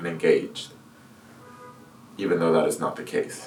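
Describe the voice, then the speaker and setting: Speaking quietly in an American accent, a man is heard over noticeable background noise and audible room echo. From California. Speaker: video artist. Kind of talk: personal monologue to camera. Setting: room, filmed without external microphone. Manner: monotone; slow, quiet. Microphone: camera's built-in microphone.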